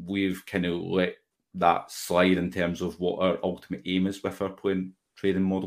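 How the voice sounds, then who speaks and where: A man speaks in a Glasgow accent with a very deep, low pitch and flat, monotone intonation. His pace is moderate, and the recording is very clean with a silent background. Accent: Scottish (Glasgow). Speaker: football fan podcaster. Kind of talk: casual chat.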